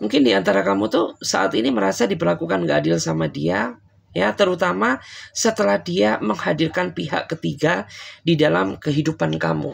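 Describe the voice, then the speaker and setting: Speaking at a fairly quick pace, a man with a fairly low voice makes very wide pitch swings while keeping his loudness very even. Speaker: tarot reader. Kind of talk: tarot reading to viewers. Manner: casual, conversational.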